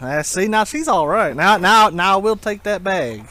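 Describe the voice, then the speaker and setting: With a strong Southern US accent, a man speaks fairly slowly, his intonation lively. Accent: thick Southern US. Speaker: video game reseller vlogger. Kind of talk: casual bargaining at yard sale.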